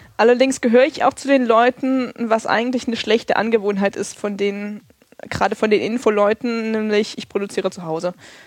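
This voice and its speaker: Fairly quickly and with fairly even intonation, a woman speaks at a fairly high pitch. There is noticeable background noise. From Thuringia, eastern Germany (Erfurt). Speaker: community radio journalist. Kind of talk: casual interview.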